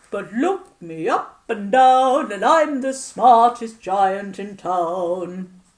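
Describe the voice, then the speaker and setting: Very slow, fairly high-pitched put-on character voice from a woman. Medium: read story. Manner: cheerful, kindly.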